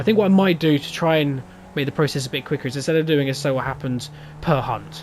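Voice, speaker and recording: The voice has an English accent and ordinary pitch variation. The pace is very fast. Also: man. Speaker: gaming youtuber. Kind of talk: gameplay commentary. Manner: stuttering.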